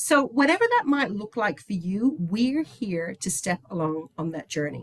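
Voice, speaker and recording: Enthusiastic in tone, a woman with an Irish accent speaks at a moderate pace, her pitch swinging very widely. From Ireland, Dublin. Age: 60s. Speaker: company executive. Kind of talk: presentation.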